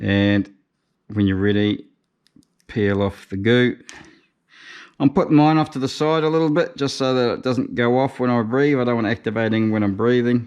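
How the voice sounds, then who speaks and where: Against a quiet background, a man with a New Zealand accent talks at a moderate pace and medium pitch, using ordinary pitch variation and long, frequent pauses. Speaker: motorcycle tour operator. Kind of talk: casual how-to narration.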